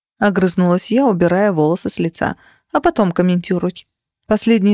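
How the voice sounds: Quiet background behind a natural reading voice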